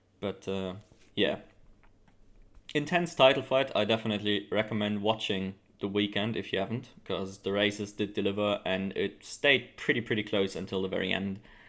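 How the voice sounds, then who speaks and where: Speaking with a German accent, a man talks at a moderate pace in a fairly low pitch with ordinary pitch variation. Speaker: motorsport video commentator. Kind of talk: casual commentary. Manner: hesitant, many fillers.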